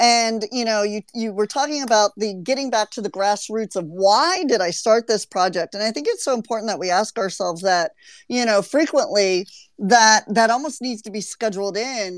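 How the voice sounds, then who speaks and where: Her fairly high pitch moves with ordinary variation as a woman speaks at a moderate pace. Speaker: podcast host. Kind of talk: casual chat. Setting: online audio room. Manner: animated.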